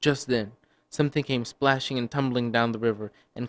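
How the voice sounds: Against a quiet background, a natural reading voice moves with fairly even intonation.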